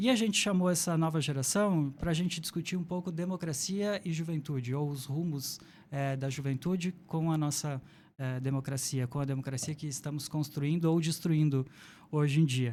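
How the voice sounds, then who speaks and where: On a very clean recording with a silent background, a man with a plain, everyday voice talks at a moderate pace in a fairly high pitch, using ordinary pitch variation. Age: 40s. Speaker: podcast moderator. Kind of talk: podcast introduction.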